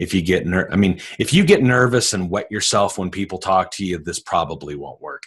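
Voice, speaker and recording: An animated man at a moderate pace, very deep and low in pitch, lively in intonation, over a quiet background. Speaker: sales trainer. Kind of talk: webinar sales pitch. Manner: loud.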